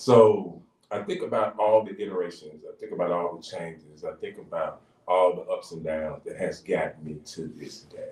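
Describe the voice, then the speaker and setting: Moderate pace from a man, loudness swinging widely. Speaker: pastor and radio co-host. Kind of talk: radio talk show discussion. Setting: radio studio. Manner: halting, repeats words.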